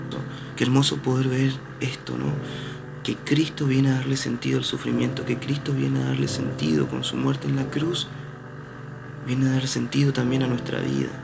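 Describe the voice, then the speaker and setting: Pausing long and often, a man speaks at a moderate pace, with audible room echo and noticeable background noise around him. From Argentina, Posadas, Misiones. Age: 20s. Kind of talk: reflective spiritual monologue. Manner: hesitant, frequent repetitions.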